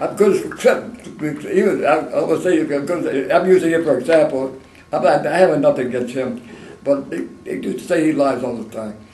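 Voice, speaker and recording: Lively intonation marks a man's fairly high voice, heard with audible room echo and noticeable background noise. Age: 80s+. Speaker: war veteran. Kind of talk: oral history interview. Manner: fast.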